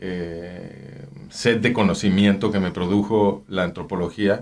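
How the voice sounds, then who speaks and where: A man's fairly low voice with a Mexican accent, on a very clean recording with a silent background. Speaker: anthropologist. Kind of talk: interview. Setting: studio. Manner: halting.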